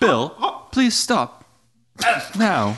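A man's high-pitched, put-on character voice.

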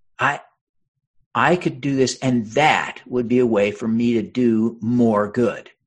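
With an American accent, a man speaks very slowly at a medium pitch. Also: ordinary pitch variation. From Utah. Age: 50s. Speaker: congressional candidate and author. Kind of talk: interview.

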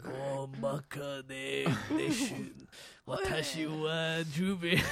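A man performs a put-on character voice at a fairly high pitch. He delivers it at a very slow pace.

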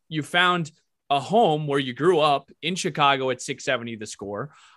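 A man's fairly high, bright, sharp voice with lively intonation at a moderate pace, on a very clean recording with a silent background. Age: 20s. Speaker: podcast host. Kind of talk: interview; podcast intro.

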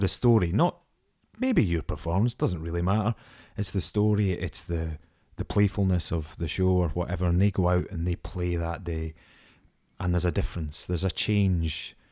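On a very clean recording with a silent background, a man with a Scottish accent speaks at a very deep, low pitch in a dark, mellow tone, with fairly even intonation at a moderate pace. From Scottish Borders. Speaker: actor. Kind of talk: casual chat.

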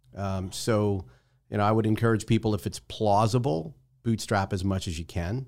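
A man with an American accent and a normal speaking voice, at a moderate pace with ordinary pitch variation, on a very clean recording against a silent background. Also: fairly low pitch for a man. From New Jersey. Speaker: startup investor and founder. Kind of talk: interview. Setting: studio.

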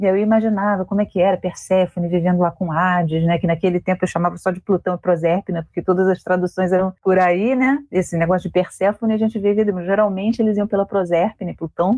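Very fast and with hardly any pauses, a woman speaks at a medium pitch. Her loudness stays very even and her intonation fairly even. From Brazil, Rio de Janeiro. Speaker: author and librarian. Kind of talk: interview.

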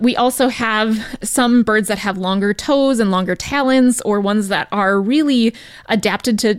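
A woman has an unremarkable speaking voice at a fairly high pitch. Her pitch variation is ordinary and her loudness very even. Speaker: wildlife rehabilitation program manager. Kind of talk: educational radio segment.

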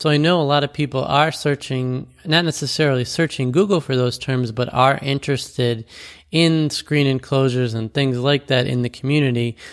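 With a plain, everyday voice, a man talks at medium pitch and a moderate pace, using fairly even intonation. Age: 40s. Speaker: podcast host. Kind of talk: solo podcast monologue.

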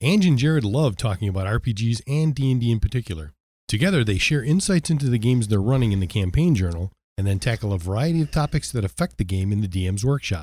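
A man with a medium pitch and a dark, mellow, somewhat breathy tone talks at a very fast pace with very wide pitch swings and very even loudness on a very clean recording with a silent background. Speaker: podcast co-host. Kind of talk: casual chat about tabletop gaming. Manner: joking, teasing.

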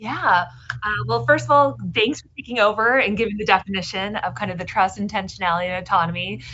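A woman talks at a very fast pace and a medium pitch, with very wide pitch swings and big swings in loudness. Noticeable background noise runs underneath. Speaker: author. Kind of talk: interview.

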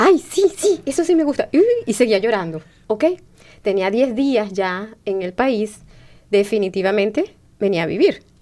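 With long, frequent pauses, a woman speaks fairly slowly in a fairly high voice with a dark, mellow tone and very wide pitch swings. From Venezuela. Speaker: community radio host. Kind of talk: casual chat. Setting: studio.

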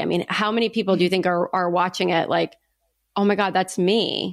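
A woman with a medium pitch speaks at a fairly quick pace in a very clean recording with a silent background. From US, Italian-American family. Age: 30s. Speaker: podcast host. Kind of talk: casual chat. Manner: animated.

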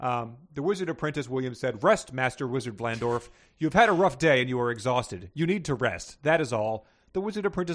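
Lively intonation in plain reading aloud

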